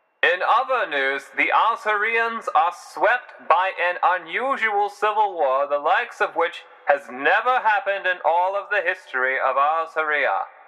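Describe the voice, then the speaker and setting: Over noticeable background noise, a man with a high pitch uses a raised, projected voice and lively intonation. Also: fairly slow pace. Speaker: amateur narrator / hobbyist writer of a fictional world. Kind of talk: news broadcast narration. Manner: formal, newsreader delivery.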